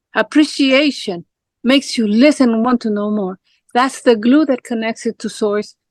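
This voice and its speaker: A woman in a Spanish accent with a high pitch at a moderate pace, the sound dry and close with no echo. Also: ordinary pitch variation. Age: 60s. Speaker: life coach. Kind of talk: casual chat.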